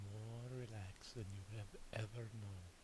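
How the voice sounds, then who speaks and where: A soft-spoken man with a fairly low, somewhat breathy voice. His tone is calm, and his intonation stays flat and monotone. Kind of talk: guided relaxation visualization. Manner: soft-spoken, calm.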